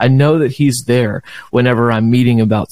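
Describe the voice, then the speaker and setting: A man of medium pitch with an American accent and a dark, mellow tone speaks at a fairly quick pace in a dry, close sound with no echo. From Southeast Texas (Beaumont). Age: 30s. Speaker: worship leader. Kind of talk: casual interview chat.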